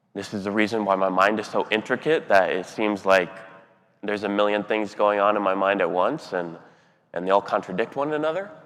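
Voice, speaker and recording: At a fairly quick pace, a man with an unremarkable speaking voice talks at fairly low pitch with ordinary pitch variation. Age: 30s. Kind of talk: keynote speech.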